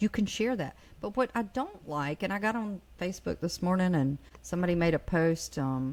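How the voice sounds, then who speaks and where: With a normal speaking voice, a woman speaks at a moderate pace and a medium pitch, her intonation lively. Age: 50s. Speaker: mental health advocate. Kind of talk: casual chat.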